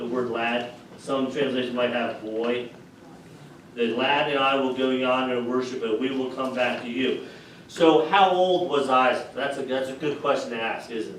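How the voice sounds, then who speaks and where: Over noticeable background noise and audible room echo, a man speaks at a moderate pace with a medium pitch and fairly even intonation. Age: 60s. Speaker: pastor. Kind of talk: sermon. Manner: conversational.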